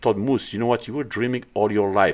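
A man with a French accent talks with ordinary pitch variation over a quiet background. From France (born in Morocco). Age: 40s. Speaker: bodybuilder and gym owner. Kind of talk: casual interview. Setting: studio.

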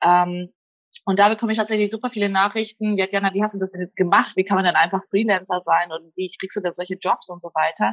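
Her delivery is very fast and monotone, with flat intonation throughout. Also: medium pitch for a woman. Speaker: blogger and freelancer. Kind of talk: casual chat.

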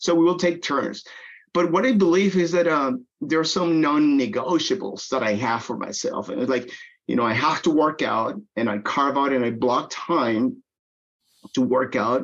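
A man with a Spanish accent and a fairly high pitch. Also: lively intonation, moderate pace. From Venezuela. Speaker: technology business development executive. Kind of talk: interview.

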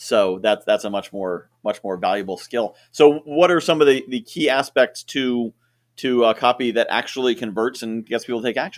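Medium-pitched male speech in a normal speaking voice, lively intonation, moderate pace, a very clean recording with a silent background, and dry, close sound with no echo. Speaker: podcast host. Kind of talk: interview. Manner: friendly, laughs often.

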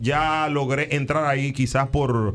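Over noticeable background noise, a man with a Dominican accent speaks at a fairly high pitch. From Dominican Republic, San Cristóbal. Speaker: radio personality. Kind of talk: casual chat.

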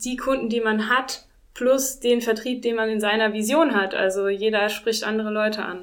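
A woman with an ordinary speaking voice and a fairly high pitch. She keeps a moderate pace and fairly even intonation. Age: 40s. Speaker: winemaker. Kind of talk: interview.

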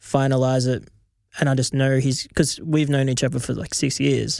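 A man speaks at a moderate pace in a medium pitch, his tone dark and mellow and his intonation monotone and flat. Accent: Australian. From Australia. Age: 20s. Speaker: rapper. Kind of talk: casual chat. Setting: studio.

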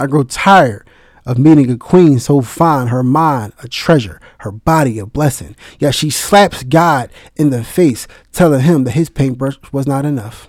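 At a moderate pace, a man speaks in a fairly high voice on a very clean recording with a silent background. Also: ordinary pitch variation. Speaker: spoken word poet. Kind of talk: spoken word poem, dedicated tribute with a short spoken intro. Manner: impassioned, earnest, heartfelt; emphatic, rhythmic, with rhyming cadence.

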